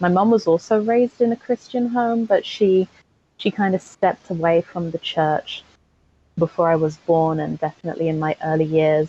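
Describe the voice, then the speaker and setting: In a dry, close sound with no echo, a woman speaks fairly slowly at a medium pitch, with a dark, mellow tone and ordinary pitch variation. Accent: English. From England, Aylesbury, Buckinghamshire. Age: 20s. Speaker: construction cost manager. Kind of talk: podcast interview testimony.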